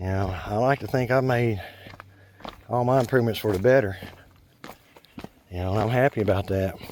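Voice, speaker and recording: A man's fairly low voice with ordinary pitch variation, long and frequent pauses, and noticeable background noise. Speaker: hiking vlogger. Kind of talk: casual vlog monologue while hiking. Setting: outdoors on a forest trail. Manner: loud, projecting voice; rambling filler-heavy speech.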